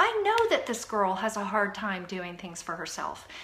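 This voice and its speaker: With noticeable background noise and audible room echo, a woman speaks in an animated tone. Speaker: fitness coach. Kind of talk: live video chat. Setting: home live stream. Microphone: Wi-Fi issues.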